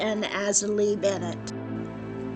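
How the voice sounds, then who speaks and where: A woman's voice with music in the background. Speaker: former college instructor. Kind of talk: cemetery history narration.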